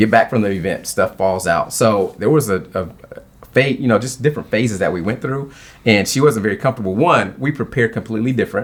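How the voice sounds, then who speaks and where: Energetic in tone, a man with a medium pitch and ordinary pitch variation talks at a very fast pace. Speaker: marriage speaker and author. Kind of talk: interview.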